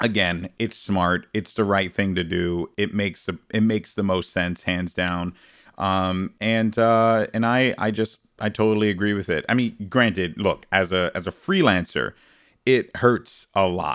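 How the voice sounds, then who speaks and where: A man with an American accent in a normal speaking voice, fairly low in pitch with ordinary pitch variation, at a fairly slow pace, on a very clean recording with a silent background. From New York City, the Bronx. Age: 30s. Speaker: esports podcast host. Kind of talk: casual interview chat.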